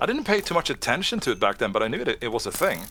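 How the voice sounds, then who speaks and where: The voice moves through very wide pitch swings while noticeable background noise runs underneath. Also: man. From Sweden. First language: Swedish. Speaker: Minecraft content creator and 3D modeling tutor. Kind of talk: casual interview chat. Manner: talkative.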